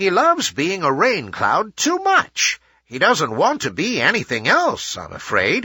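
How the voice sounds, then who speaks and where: A man speaks in a put-on character voice pitched high. His pace is moderate, with hardly any pauses. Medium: read story.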